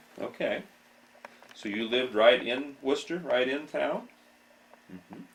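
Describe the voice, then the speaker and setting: The voice carries an Ohio accent. Its loudness swings widely. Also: man, moderate pace. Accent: Midwestern US, Ohio. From Ohio, Apple Creek. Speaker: local history interviewer. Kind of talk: oral history interview. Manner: polite, hesitant.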